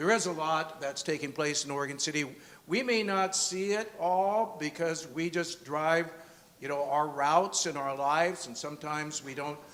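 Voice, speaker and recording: A fairly high male voice at a moderate pace, with ordinary pitch variation. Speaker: event host. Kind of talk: event introduction. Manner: loud.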